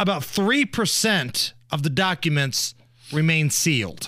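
Talking very slowly with an American accent, a man lets his pitch swing very widely. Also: very clean recording, silent background. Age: 40s. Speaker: radio host. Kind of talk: casual chat. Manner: animated.

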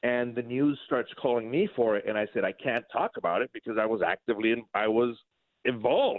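With an ordinary speaking voice, a man talks fairly quickly at a medium pitch and with fairly even intonation. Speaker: border patrol agent. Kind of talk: interview. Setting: phone call.

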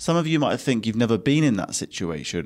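Recorded very cleanly against a silent background, a man speaks at a medium pitch with an English accent. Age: 20s. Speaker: podcast host and business owner. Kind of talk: solo podcast monologue.

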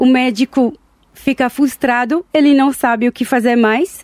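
Fairly slow speech comes through with a strong non-native accent. The sound is dry and close, with no echo. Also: woman. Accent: strong foreign accent in Portuguese. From Israel, Tel Aviv. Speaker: entrepreneur and chronic illness advocate. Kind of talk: interview. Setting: studio. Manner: halting.

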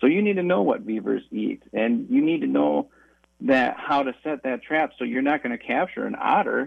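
A man with a Wisconsin accent, speaking at a moderate pace. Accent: Upper Midwest (Wisconsin). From western Wisconsin, La Crosse area. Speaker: trapping education instructor. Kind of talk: radio interview. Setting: phone call.

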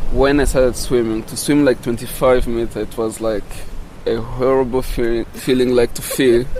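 Monotone, flat delivery from a man at a medium pitch and moderate pace, with noticeable background noise. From DRC Congo, Rutshuru area. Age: 20s. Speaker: refugee and open-water swimmer. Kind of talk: interview. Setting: outdoors on a windy beach. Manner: halting.

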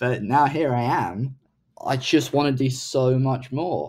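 A man with a British accent speaks in a dark, mellow tone. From UK. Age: 20s. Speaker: startup founder. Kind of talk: interview.

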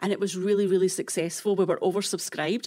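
This voice belongs to a woman. She speaks in a Scottish accent. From Scotland. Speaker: nonprofit executive director. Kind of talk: casual interview.

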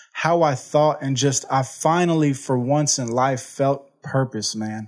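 Speaking with an American accent, a man with fairly high pitch keeps a moderate pace and ordinary pitch variation. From Houston, Texas. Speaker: recovery program staff member, former addict. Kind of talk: testimony. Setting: studio. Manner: energetic.

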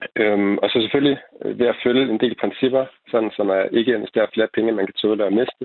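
Very fast pace from a man, with fairly even intonation. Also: medium pitch for a man. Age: 20s. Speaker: investing YouTuber. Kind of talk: radio panel discussion. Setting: phone call. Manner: halting.

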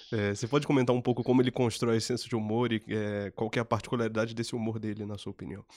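A man talks at a very fast pace at medium pitch, with hardly any pauses and monotone, flat intonation. The recording is very clean, with a silent background. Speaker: podcast host. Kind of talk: scripted narration.

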